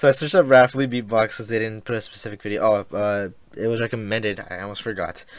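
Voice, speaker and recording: Fairly quick speech from a man at a medium pitch with ordinary pitch variation. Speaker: reaction video host. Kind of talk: casual reaction commentary. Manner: loud; halting.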